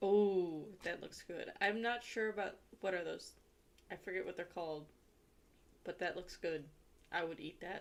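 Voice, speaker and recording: Using an American accent, a woman at medium pitch speaks at a moderate pace with fairly even intonation and long, frequent pauses. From Ohio, US. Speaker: livestreamer. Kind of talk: casual chat.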